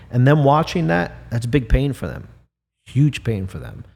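In a very clean recording with a silent background, a somewhat breathy man speaks at a moderate pace with lively intonation. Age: 40s. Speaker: bereaved parent. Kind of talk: casual chat.

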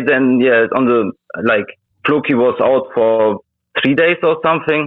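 The man's voice sits at a fairly high pitch. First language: Russian. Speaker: crypto trader. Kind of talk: casual interview. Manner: halting.

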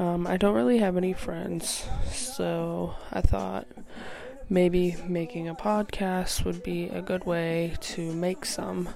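Amid noticeable background noise and audible room echo, a woman with an American accent speaks at a very slow pace. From New Hampshire, US. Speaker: podcast host. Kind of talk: casual monologue. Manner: halting, frequent ums.

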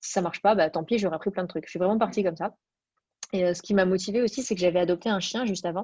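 At a very fast pace, a woman talks with a dark, mellow tone and fairly even intonation. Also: medium pitch for a woman. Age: 20s. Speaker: fashion entrepreneur. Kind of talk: interview.

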